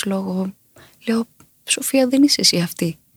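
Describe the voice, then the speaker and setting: A somewhat breathy woman speaks at a moderate pace with ordinary pitch variation, the sound dry and close with no echo. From Crete, Chania. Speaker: singer. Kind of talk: interview. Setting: studio.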